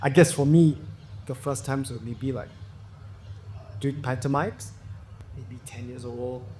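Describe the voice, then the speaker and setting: A man at a medium pitch with a dark, mellow, somewhat breathy tone, ordinary pitch variation, moderate pace, and long, frequent pauses. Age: 60s. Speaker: actor. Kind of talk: casual chat.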